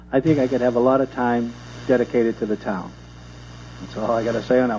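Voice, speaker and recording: A man with a medium pitch at a very fast pace, fairly even intonation, and noticeable background noise. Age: 60s. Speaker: selectman candidate. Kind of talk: candidate forum answer.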